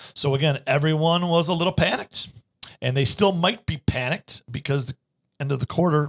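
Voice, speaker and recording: A fairly high-pitched man's voice, somewhat breathy and animated, at a fairly quick pace with ordinary pitch variation, in a dry, close sound with no echo. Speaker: financial advisor and podcast host. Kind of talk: casual chat. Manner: fast.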